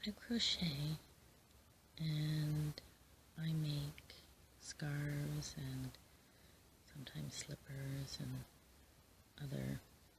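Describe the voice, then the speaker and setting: Soft-spoken and very slow, the speaker leaves long, frequent pauses. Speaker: crochet hobbyist and occasional teacher. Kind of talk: ASMR soft-spoken chat. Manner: soft-spoken, calm.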